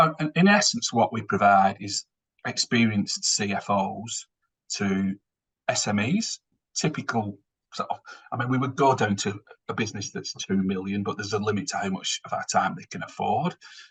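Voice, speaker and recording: A man speaks with a strong northern English accent. The sound is dry and close, with no echo. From northern England. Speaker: finance executive. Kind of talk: webinar presentation. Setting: online webinar. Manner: fast.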